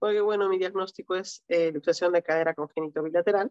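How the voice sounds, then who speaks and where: In a dry, close recording with no echo, a woman speaks in a fairly low, flat, monotone voice. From Peru. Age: 30s. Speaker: para-badminton athlete. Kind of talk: interview. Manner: halting.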